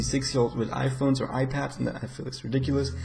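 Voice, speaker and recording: Over noticeable background noise and audible room echo, a man with a medium-pitched voice talks at a very fast pace. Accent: German. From Germany. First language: German. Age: 20s. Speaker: gaming YouTuber. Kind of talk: casual vlog Q&A. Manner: rambling, hesitant with fillers. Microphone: quiet mic.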